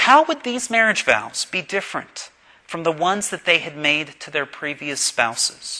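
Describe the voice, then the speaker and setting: The tone is bright and sharp, at a moderate pace, with very wide pitch swings and big swings in loudness. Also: man, high pitch for a man. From Pittsburgh, Pennsylvania. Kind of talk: sermon.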